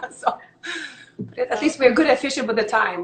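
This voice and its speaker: Noticeable background noise accompanies a woman speaking fairly quickly. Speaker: online show host. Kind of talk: casual interview. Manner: fast.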